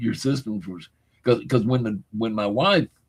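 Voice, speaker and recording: Here a man talks at a moderate speed with a medium pitch. There is a somewhat breathy quality to his voice. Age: 70s. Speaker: livestream host. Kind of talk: casual chat.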